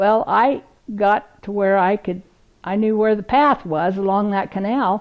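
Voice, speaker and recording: A woman speaks at a fairly slow pace in a warm tone. Her pitch is medium, with a Pacific Northwest accent. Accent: Pacific Northwest American. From Central Oregon, USA. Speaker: oral history interviewee. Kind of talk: oral history reminiscence. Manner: warm, humorous storytelling.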